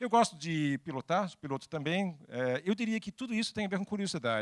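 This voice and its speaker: Recorded very cleanly with a silent background and a dry, close sound with no echo, a man with a Danish accent talks at a fairly quick pace with lively intonation. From Denmark. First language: Danish (speaking Portuguese). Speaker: technology executive and speaker. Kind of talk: talk to an audience. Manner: halting.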